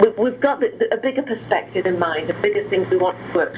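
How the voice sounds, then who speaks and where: Noticeable background noise runs under a woman speaking fairly quickly with an English accent. Her pitch is fairly high and swings very widely. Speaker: director of a treatment center. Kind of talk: interview.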